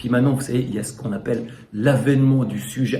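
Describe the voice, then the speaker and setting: Heard with audible room echo, a man talks at a medium pitch and a moderate pace. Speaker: priest giving a talk. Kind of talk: lecture. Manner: casual, with fillers.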